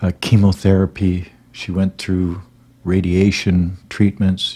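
Talking at a fairly slow pace, a man has a very deep, low pitch. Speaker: grieving husband vlogger. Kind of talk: casual vlog chat, personal story. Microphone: studio mic.

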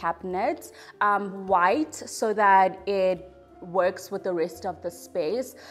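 A woman speaks very slowly with ordinary pitch variation over faint background music. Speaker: home renovation vlogger. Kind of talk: casual vlog chat. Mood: warm, pleased. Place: home room.

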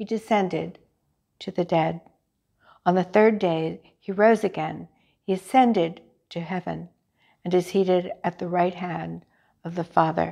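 Against a quiet background, a woman with a fairly low pitch and a dark, mellow tone speaks at a moderate pace with vocal fry, fairly even intonation and long, frequent pauses. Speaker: lay reader leading prayer. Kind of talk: morning prayer service, liturgical reading and fervent prayer. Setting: church chapel, recorded service. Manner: formal, reverent, solemn; fervent, earnest, devotional. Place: church.

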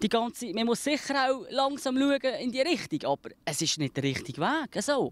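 A man with a Swiss accent speaks at a moderate pace with hardly any pauses. His pitch is extremely high, his intonation lively, and the sound dry with no echo. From Switzerland. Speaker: fruit farmer. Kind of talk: interview answer. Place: farm.

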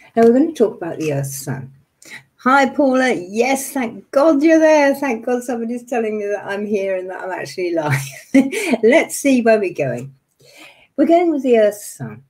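At a moderate pace, a woman speaks with very wide pitch swings and big swings in loudness. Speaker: meditation teacher. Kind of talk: webinar lecture. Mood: warm, slightly flustered. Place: home room. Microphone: webcam.

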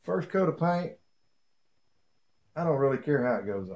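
A man speaks at a moderate pace in a slightly mellow tone, his pitch swinging widely. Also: medium pitch for a man.

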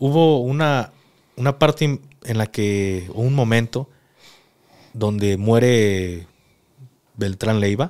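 The background is quiet. A man speaks with a fairly low pitch and ordinary pitch variation. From Mexico. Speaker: podcast host, former soldier; podcast host. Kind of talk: interview. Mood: serious, calm storytelling. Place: studio. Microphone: studio mic.

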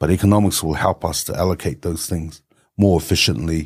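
A man's very deep, low pitch at a moderate pace, over a quiet background. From New Zealand, Tongan-born. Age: 50s. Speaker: economist and policy advisor. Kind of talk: podcast interview. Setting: studio with camera. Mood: reflective, warm storytelling. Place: studio. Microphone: studio mic.

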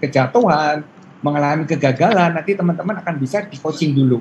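With light background noise, a man speaks in an ordinary speaking voice, fairly high in pitch and at a fairly quick pace. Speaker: university lecturer presenter; presenter. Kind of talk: presentation to students. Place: home room. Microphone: video call.

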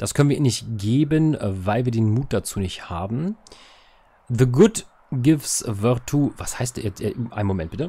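A dark, mellow tone with a slightly husky edge, lively intonation and a moderate pace. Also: man, medium pitch for a man.

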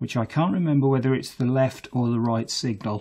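A man is speaking. His pace is fairly slow. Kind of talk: tutorial. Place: workshop.

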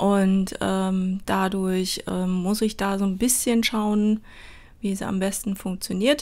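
The speech moves at a very slow pace with fairly even intonation. The recording is very clean with a silent background. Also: woman, medium pitch for a woman. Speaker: crafts YouTuber. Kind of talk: voice-over tutorial. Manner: hesitant, many fillers; unscripted.

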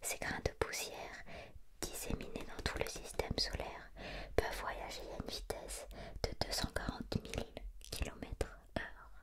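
Soft-spoken whispering moves at a fairly slow pace with long, frequent pauses. Loud background noise runs behind it. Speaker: reader of a children's book. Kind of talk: reading aloud, bedtime-story style. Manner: soft ASMR whisper, reading aloud.

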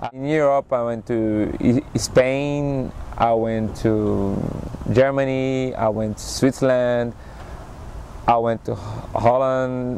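Fairly even intonation from a man with a Brazilian accent, in dry sound with no echo over light background noise. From Recife, Brazil. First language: Portuguese. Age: 30s. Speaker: acrobat and circus performer. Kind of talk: interview, personal storytelling. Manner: halting, with fillers. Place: waterside. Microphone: lapel.

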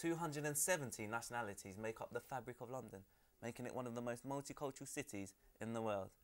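A man with a normal speaking voice and medium pitch talks at a fairly quick pace with ordinary pitch variation. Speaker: student show presenter. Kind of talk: studio discussion show. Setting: studio. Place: studio.

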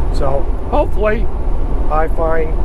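A man speaks with a dry sound and no echo. Loud noise fills the background. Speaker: truck driver vlogger. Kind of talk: casual vlog chat. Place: car. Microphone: camera far.

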